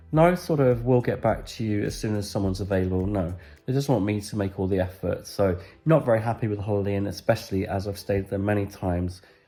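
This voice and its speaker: This man talks at a very fast pace, his fairly low pitch carrying a dark, mellow tone. The recording is very clean, with a silent background. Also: ordinary pitch variation. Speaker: travel vlogger. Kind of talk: casual talk to camera.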